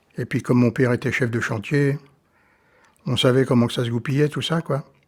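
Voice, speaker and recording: A somewhat breathy man's voice at a medium pitch and moderate pace, with fairly even intonation. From France, Brittany (Fougères). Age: 70s. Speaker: retired quarry worker. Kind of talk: oral history interview. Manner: halting, many hesitations.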